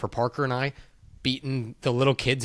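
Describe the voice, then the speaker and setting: Very clean and silent behind him, the recording captures a man at a moderate pace. His is an ordinary speaking voice at a medium pitch. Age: 30s. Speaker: podcast host. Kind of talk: casual chat.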